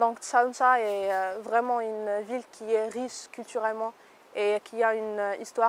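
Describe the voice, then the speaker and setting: With an Arabic accent, a woman talks at a fairly slow pace and a fairly high pitch in a monotone, flat intonation, the sound dry and close with no echo on a very clean recording with a silent background. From Morocco. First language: Arabic (speaking French). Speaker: university student. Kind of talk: interview. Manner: hesitant, many fillers.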